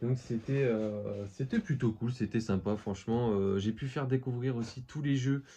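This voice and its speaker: A man talks at a fairly slow pace and medium pitch, with fairly even intonation. His voice is somewhat breathy, with a dark, mellow tone. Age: 20s. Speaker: collectibles youtuber. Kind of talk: casual vlog. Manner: hesitant, many fillers.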